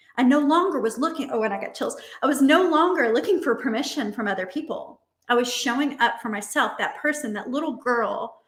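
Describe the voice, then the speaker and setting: Audible room echo surrounds a woman who talks at a very fast pace with lively intonation. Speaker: dating and relationship coach. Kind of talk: online summit talk with exercise. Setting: virtual conference.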